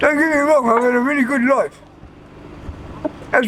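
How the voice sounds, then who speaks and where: A man talks at a moderate pace in a southeast English accent, with ordinary pitch variation. Noticeable background noise runs behind him. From southeast England, Kent. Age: 60s. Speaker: rough sleeper. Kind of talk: street interview. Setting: outdoors. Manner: halting.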